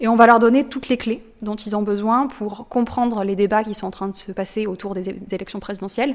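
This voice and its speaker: With a plain, everyday voice, a woman speaks at a fairly quick pace and fairly high pitch, using fairly even intonation, hardly any pauses and big swings in loudness. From southern France. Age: 20s. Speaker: student activist. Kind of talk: interview testimony.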